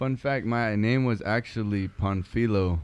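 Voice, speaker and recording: Slowly, at a very slow pace, a man with an American accent talks at a fairly low pitch with ordinary pitch variation. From Arizona, Yuma. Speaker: podcast host. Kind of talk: casual chat. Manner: halting.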